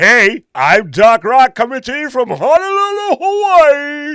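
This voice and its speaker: A man puts on a character voice pitched extremely high. He speaks at a fairly slow pace. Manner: exaggerated broadcaster delivery.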